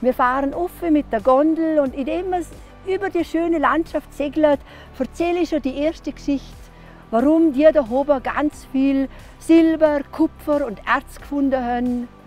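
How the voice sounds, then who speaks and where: A woman speaks at a fairly slow pace with a high pitch and ordinary pitch variation. The sound is dry with no echo, and faint music plays in the background. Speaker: storyteller and hiking guide; former school teacher. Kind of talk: interview answer. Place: open country. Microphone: lapel.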